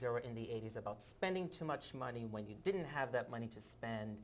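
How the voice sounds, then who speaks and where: The pitch moves in an ordinary way. It belongs to a man who is talking. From Brazil (Rio de Janeiro), moved to US at 14. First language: Portuguese. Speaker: theater director and playwright. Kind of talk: TV interview.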